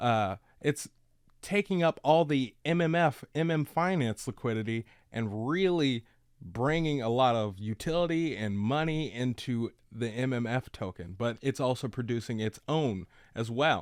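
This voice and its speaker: The recording is very clean, with a silent background and a dry, close sound free of echo. A man speaks fairly slowly with lively intonation. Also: medium pitch for a man. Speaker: crypto YouTuber. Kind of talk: casual screen-share tutorial. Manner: animated, slang-heavy; stumbling over words.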